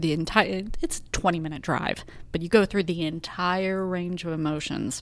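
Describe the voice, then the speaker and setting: In a very clean recording with a silent background, a woman talks at a moderate pace in a fairly low voice. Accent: Texan. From Texas, Arlington. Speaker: government relations director and police spouse. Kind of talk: interview conversation.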